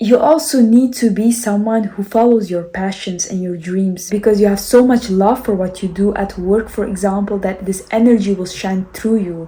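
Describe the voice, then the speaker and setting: A woman of medium pitch with a non-native accent, at a moderate pace. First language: not English. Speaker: self-help and spirituality vlogger. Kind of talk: motivational talk. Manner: animated, gestures with hands.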